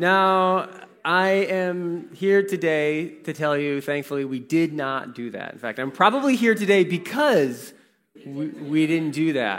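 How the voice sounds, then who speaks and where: A high-pitched man with an American accent speaks at a fairly slow pace with lively intonation, in a very clean recording with a silent background. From Warsaw, Indiana (US Midwest). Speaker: pastor. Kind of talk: sermon.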